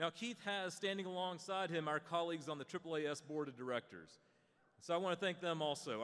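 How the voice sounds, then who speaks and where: Bright and sharp in tone, a man with a high pitch talks at a fairly quick pace with ordinary pitch variation. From Western North Carolina. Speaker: association executive introducing a panel. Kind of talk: opening remarks. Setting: stage with audience. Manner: casual, conversational with hesitations.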